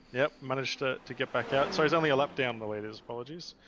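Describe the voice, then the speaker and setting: A medium-pitched man at a fairly quick pace, with noticeable background noise. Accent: Australian. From Australia. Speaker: sim racing commentator. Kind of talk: live commentary.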